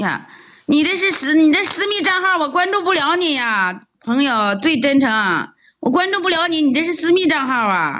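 A woman's high, bright, sharp voice, raised and projected, at a moderate pace with very wide pitch swings. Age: 50s. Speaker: rural livestreamer, farmer. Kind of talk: casual livestream chat.

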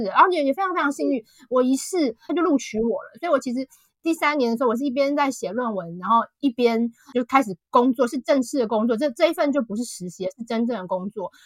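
A woman with a high pitch projects her raised voice at a fairly quick pace, her bright, sharp tone swinging very widely in pitch, recorded dry and close with no echo. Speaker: author. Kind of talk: interview. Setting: online call.

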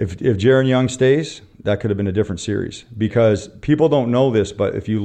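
A man with a Canadian accent uses an ordinary speaking voice, with fairly even intonation and a moderate pace. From Canada. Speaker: basketball coach. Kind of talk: interview.

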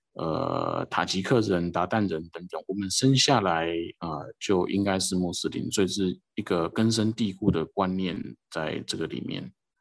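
A man's very deep, low voice at a fairly slow pace, with ordinary pitch variation and a quiet background. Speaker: missionary. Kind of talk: interview. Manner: halting, many fillers.

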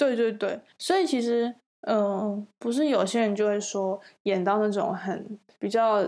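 The woman's tone is dark and mellow, her loudness very even, and her pitch varies in an ordinary way. She speaks at a fairly slow pace on a very clean recording with a silent background. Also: fairly high pitch for a woman. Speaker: actress and podcast co-host. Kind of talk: casual chat. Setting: home recording with basic equipment.

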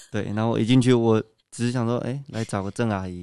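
Against a quiet background, a man uses a normal speaking voice, fairly low in pitch, with fairly even intonation. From Taiwan, Kaohsiung. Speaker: badminton athlete, university student. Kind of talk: interview.

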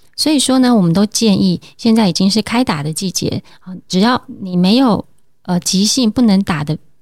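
Medium-pitched woman's voice, somewhat breathy, with lively intonation at a moderate pace, in a dry, close recording with no echo. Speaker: family medicine doctor. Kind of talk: interview.

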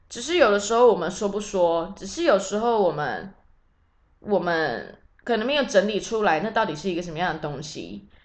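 With audible room echo around her, a woman speaks using lively intonation. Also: medium pitch for a woman, moderate pace, big swings in loudness. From Taiwan. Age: 30s. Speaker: podcast host, tour leader. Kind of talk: casual solo monologue.

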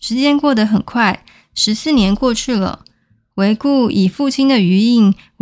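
Over a quiet background, the clip features a natural reading voice.

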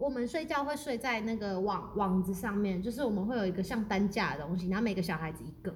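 Noticeable background noise and audible room echo fill the clip. A woman at medium pitch speaks at a very fast pace with lively intonation and hardly any pauses. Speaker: podcast co-host. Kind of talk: casual chat. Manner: animated.

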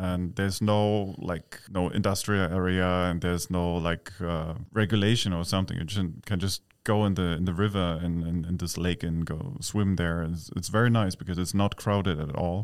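Speaking with a German accent, a man has a very deep, low pitch. He keeps a moderate pace and fairly even intonation. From East Berlin, Germany. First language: German (speaking Chinese). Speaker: expat living in Taiwan. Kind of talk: interview.

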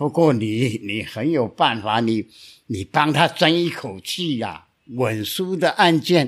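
In a very clean recording with a silent background, a man at medium pitch uses lively intonation at a very slow pace. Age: 80s+. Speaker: lawyer. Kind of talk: storytelling.

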